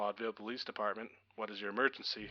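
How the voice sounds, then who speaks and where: Using a put-on character voice, a man speaks at a very fast pace. His pitch is fairly low and his intonation is monotone and flat. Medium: read story. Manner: calm, professional.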